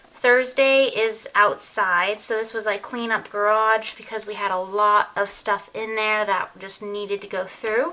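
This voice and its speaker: A woman speaks in a plain, everyday voice at a fairly high pitch. Her intonation stays fairly even, with hardly any pauses. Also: fairly slow pace. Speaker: lifestyle vlogger. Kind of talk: casual tutorial.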